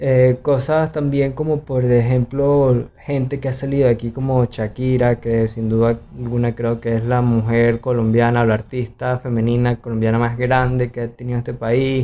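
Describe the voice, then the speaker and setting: A man at medium pitch, with monotone, flat intonation, a moderate pace and hardly any pauses. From Venezuela, Valencia (Carabobo). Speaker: podcast co-host. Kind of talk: casual chat.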